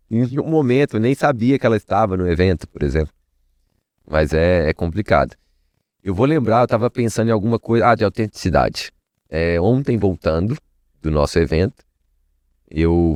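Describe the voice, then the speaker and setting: A man speaks at a fairly low pitch with lively intonation and a moderate pace. Long, frequent pauses break up his speech, recorded dry and close with no echo. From Minas Gerais, Brazil. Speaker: networking entrepreneur. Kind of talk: podcast interview. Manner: casual, conversational.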